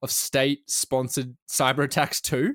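With an Australian accent, a man is heard in a dry, close sound with no echo on a very clean recording with a silent background. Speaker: journalist and podcast co-host. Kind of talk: casual chat.

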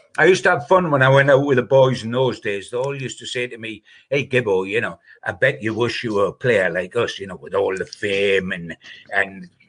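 With a Geordie accent, a man talks at a fairly quick pace in a medium pitch. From northern England. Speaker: football journalist. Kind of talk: casual chat.

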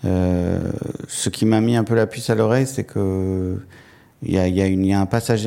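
This man's voice is fairly low with a dark, mellow tone. His intonation stays fairly even. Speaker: writer. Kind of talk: public talk. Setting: stage with audience. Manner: halting.

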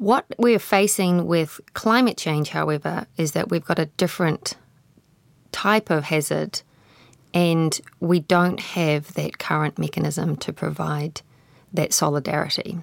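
A woman with a New Zealand accent speaks at a fairly slow pace in a very deep, low voice with ordinary pitch variation. The recording is very clean and dry, close, with a silent background and no echo. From Waikato, New Zealand. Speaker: independent researcher. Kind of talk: panel discussion.

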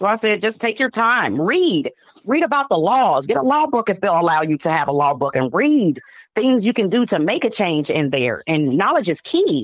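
A woman with an American accent and a medium pitch shows very wide pitch swings and vocal fry, keeping very even loudness at a moderate pace. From Chicago. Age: 30s. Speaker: sister of an injured inmate. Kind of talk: interview testimony. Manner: emotional.

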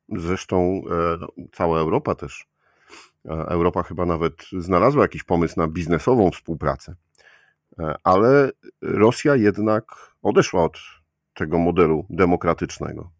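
The pace is fairly slow and the pitch varies in an ordinary way. It is a very clean recording with a silent background. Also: man, very deep, low pitch for a man. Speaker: podcast host. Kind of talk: interview.

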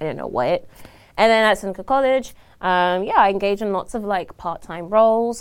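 In a very clean recording with a silent background, a woman speaks with a British accent and ordinary pitch variation. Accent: non-Ontarian (British). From South London, England. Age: young. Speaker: young union member and international student. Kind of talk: casual podcast interview. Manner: animated, frequent laughter.

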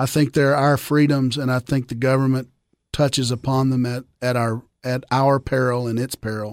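A man of medium pitch speaks at a moderate pace in a monotone, flat intonation, recorded very cleanly with a silent background and a dry, close sound with no echo. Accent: Tennessee. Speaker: attorney and former state representative. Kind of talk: casual interview chat.

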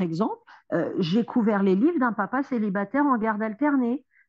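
A woman with an ordinary speaking voice, lively intonation and a moderate pace against a quiet background. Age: 30s. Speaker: social worker and single mother. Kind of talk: interview testimony.

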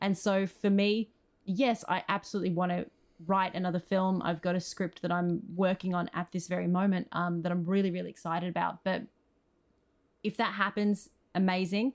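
The pace is moderate. There is little pitch movement. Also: woman, fairly low pitch for a woman.

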